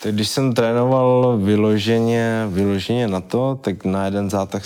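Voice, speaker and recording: At a very slow pace, a man with a fairly low pitch speaks in fairly even intonation. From Czechia, Vyškov (South Moravia). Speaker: MMA fighter and soldier. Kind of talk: casual interview.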